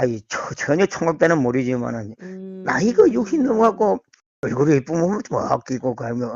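The speech goes at a moderate pace with lively intonation. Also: man. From South Gyeongsang, Korea. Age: 60s. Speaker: food company worker. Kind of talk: casual interview. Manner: halting.

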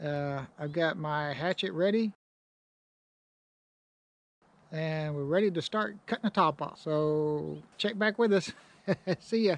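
A man talks at a fairly slow pace with long, frequent pauses. His pitch varies in an ordinary way, and the sound is dry with no echo. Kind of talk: casual vlog chat. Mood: relaxed, good-humored. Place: open country. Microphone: phone near.

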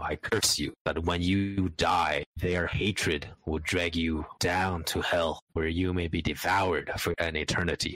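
A man uses a put-on character voice, very deep and low, with monotone, flat intonation and very even loudness. He goes at a fairly slow pace with hardly any pauses. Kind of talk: wuxia roleplay dialogue. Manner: resigned, bitter, cursing.

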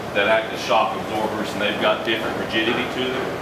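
Over loud background noise and audible room echo, a man talks at a fairly quick pace. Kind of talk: guided tour explanation. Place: workshop. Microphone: camera far.

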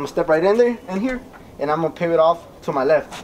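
A man with a high pitch and ordinary pitch variation, over noticeable background noise. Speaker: boxing coach. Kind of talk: tutorial. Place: garden.

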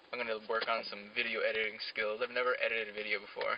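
This man speaks at a very fast pace. The sound is dry with no echo, with light background noise. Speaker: student vlogger. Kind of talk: casual vlog chat. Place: car.

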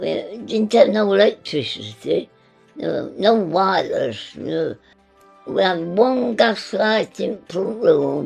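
A woman speaks very slowly in a Nottinghamshire accent. Faint music plays in the background. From English Midlands, Nottinghamshire; English Midlands. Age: 80s+. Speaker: centenarian homeowner; interviewee. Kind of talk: casual chat; interview answer. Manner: halting. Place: home room.

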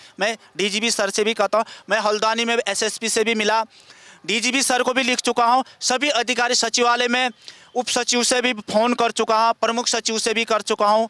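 A man speaks in a raised, projected voice, extremely high in pitch, with a bright, sharp tone, monotone, flat intonation, very even loudness, a moderate pace and a dry sound with no echo. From Uttarakhand. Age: 30s. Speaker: acquitted former accused seeking justice. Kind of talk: interview testimony. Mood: aggrieved, pleading for justice. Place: street. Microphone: handheld.

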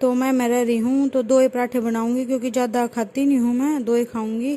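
This woman has a high-pitched voice. Her delivery is monotone and flat, at a fairly slow pace. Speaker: home cook vlogger. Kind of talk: casual vlog chat. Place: kitchen. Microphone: phone near.

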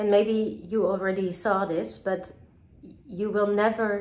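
With a Dutch accent, a woman speaks at a very slow pace and with fairly even intonation. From Netherlands, Amsterdam. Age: 30s. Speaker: film director. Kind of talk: recorded video message to festival audience; festival greeting video, direct address. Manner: halting, many filler words. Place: home room. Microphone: phone near.

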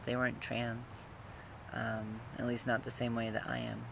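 At a moderate pace, a man speaks in a dry sound with no echo over noticeable background noise. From Utah, US. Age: 30s. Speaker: vlogger, transgender man and student. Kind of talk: casual personal vlog monologue. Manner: halting, with many fillers. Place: garden. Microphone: phone near.

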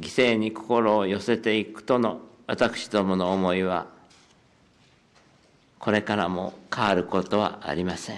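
A man with a fairly low, shaky voice speaks fairly slowly with fairly even intonation. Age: 80s+. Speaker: head of state. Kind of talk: formal press conference statement. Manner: voice trembling with emotion; slow, measured.

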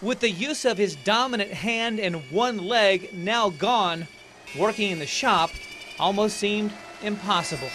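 A man speaks in a raised, projected voice at a high pitch, with ordinary pitch variation, at a fairly slow pace over noticeable background noise. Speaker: TV news reporter. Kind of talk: TV news feature narration.

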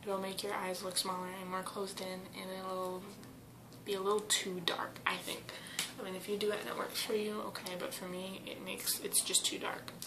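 Over noticeable background noise, a woman talks at a moderate pace in a monotone with flat intonation. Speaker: beauty vlogger. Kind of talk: makeup tutorial. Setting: at home with family. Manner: casual with many fillers. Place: bathroom. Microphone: webcam.

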